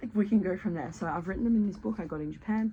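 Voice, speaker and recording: A woman talks at a very fast pace with vocal fry. Her tone is dark and mellow, and her intonation is lively. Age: 30s. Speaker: journalist and writer. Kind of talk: casual talk to camera.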